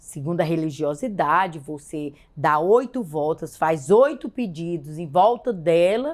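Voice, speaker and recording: With an ordinary speaking voice, a woman talks at a fairly slow pace and fairly low pitch with ordinary pitch variation, in a very clean recording with a silent background. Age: 60s. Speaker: woman of faith sharing her testimony. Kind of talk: testimony.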